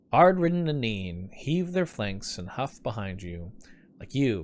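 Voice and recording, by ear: Someone reads the text aloud in a natural voice.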